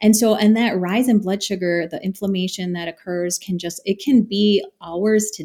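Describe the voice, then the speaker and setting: A woman with an ordinary speaking voice talks at a fairly slow pace with ordinary pitch variation, in a very clean recording with a silent background. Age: 40s. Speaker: dietitian. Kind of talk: interview.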